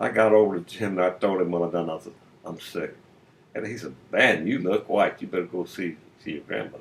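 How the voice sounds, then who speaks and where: Talking fairly quickly with a very deep, low pitch, a man with an American accent shows ordinary pitch variation and big swings in loudness. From US Midwest, Illinois. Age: 70s. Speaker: retiree telling stories. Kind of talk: personal storytelling monologue. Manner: casual, folksy.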